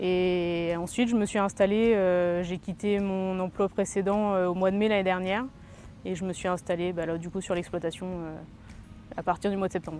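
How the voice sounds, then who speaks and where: A woman's dark, mellow tone with monotone, flat intonation. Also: medium pitch for a woman, moderate pace. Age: 30s. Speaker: farmer. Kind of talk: interview. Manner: hesitant, with many fillers.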